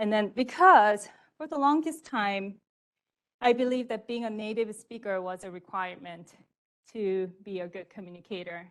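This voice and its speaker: With a non-native accent, a woman talks at a moderate pace, her intonation lively and her loudness swinging widely against a quiet background. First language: not English. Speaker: storyteller. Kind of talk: personal story performance. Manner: halting.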